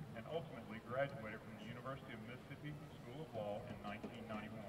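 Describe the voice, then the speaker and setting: Loud background noise runs throughout. The speech goes at a very fast pace. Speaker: school event announcer. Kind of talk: formal PA announcement, reading. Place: stadium.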